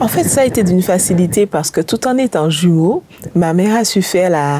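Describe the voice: The voice has a dark, mellow tone and lively intonation and moves at a moderate pace. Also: woman, fairly low pitch for a woman.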